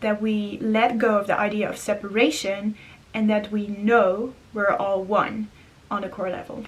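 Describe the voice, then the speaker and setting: At a very slow pace, the speaker talks with a non-native accent, fairly even intonation, and a somewhat breathy sound. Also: woman. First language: not English. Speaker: spiritual vlogger. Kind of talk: casual monologue. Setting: indoors.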